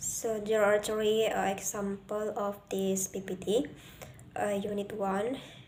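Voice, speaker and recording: Audible room echo surrounds a woman speaking very slowly at a medium pitch with monotone, flat intonation. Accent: Indonesian. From Indonesia. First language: Indonesian. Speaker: student presenter. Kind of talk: class presentation. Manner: halting.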